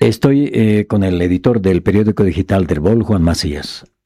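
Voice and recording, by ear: With a dark, mellow tone, a man speaks at a low pitch and a moderate pace, using ordinary pitch variation.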